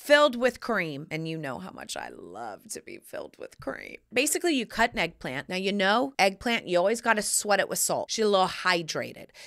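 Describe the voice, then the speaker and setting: An animated woman with an American accent, medium pitch, very wide pitch swings and vocal fry, big swings in loudness, a fairly quick pace with hardly any pauses, over a quiet background. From US South. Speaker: podcast host and lifestyle advice personality; podcast host. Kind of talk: casual chat. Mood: playful, cheeky humor. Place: studio. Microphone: studio mic.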